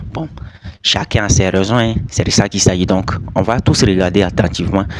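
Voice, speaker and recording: Over noticeable background noise, a man with a non-native accent and a very deep, low pitch speaks at a moderate pace with ordinary pitch variation. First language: not French (speaking French). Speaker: YouTuber commentator. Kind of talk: casual video commentary.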